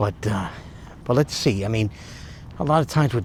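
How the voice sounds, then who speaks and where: Quietly whispering, a man speaks at a moderate pace. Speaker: YouTuber vlogger. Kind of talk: casual vlog monologue. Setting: outdoors at night. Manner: whispering, hushed; hesitant, many fillers.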